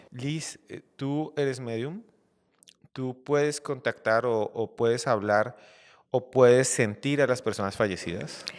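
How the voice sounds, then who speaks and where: A man's medium-pitched voice at a very slow pace, with ordinary pitch variation, in a very clean recording with a silent background. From Colombia. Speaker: podcast host. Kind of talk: interview.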